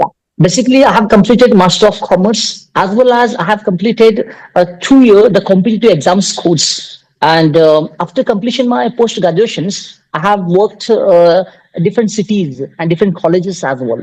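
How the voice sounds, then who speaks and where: This man has a high pitch and an Indian accent. His pitch varies in an ordinary way. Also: moderate pace. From India, Karnataka. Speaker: tutor running coaching institute. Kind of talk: casual conversation practice. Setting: video call. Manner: halting, many fillers.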